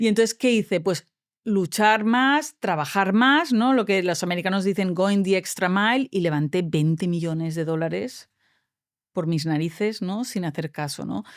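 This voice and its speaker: Someone with a Spanish accent speaks at a moderate pace in an animated tone with lively intonation, in a very clean recording with a silent background. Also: woman, medium pitch for a woman. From Spain, Valencia. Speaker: tech entrepreneur. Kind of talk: interview.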